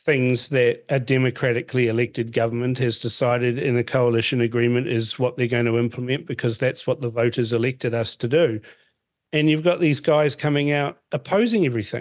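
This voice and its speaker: This is a man speaking with a New Zealand accent. His pitch varies in an ordinary way. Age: 50s. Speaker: radio host. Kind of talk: political interview.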